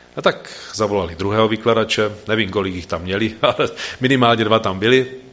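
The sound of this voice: Reading in an unforced voice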